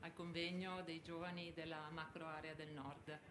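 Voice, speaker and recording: With audible room echo, a woman speaks at a moderate pace in a fairly low pitch. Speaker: construction association president. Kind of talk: welcome speech. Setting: conference hall, live stream. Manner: soft-spoken.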